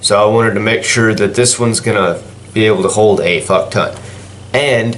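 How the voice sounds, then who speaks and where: Amid audible room echo and noticeable background noise, a man at medium pitch speaks at a fairly slow pace. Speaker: gaming YouTuber. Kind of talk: casual vlog. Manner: rambling, halting with fillers.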